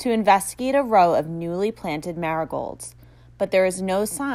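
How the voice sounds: Someone reads in a natural voice, the intonation lively throughout.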